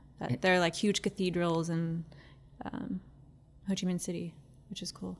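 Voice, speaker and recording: Soft-spoken and somewhat breathy, a woman with an American accent speaks at a fairly low pitch and a moderate pace, with long, frequent pauses. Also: ordinary pitch variation. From Massachusetts, US. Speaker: podcaster. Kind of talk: casual interview chat.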